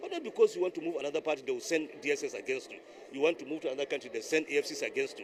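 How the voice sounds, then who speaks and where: Noticeable background noise sits behind speech at a very fast pace. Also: man. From Nigeria. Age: 60s. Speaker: politician. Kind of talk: interview. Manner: impassioned, emphatic; halting with repetitions.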